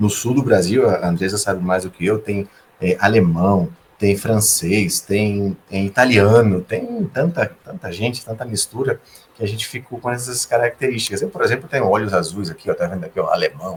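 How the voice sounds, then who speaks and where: At a moderate pace, a man talks with a fairly low pitch and ordinary pitch variation. He sounds somewhat breathy. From Brazil, Recife (Northeast), gaúcho father, Sergipe mother. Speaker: engineer. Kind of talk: podcast interview.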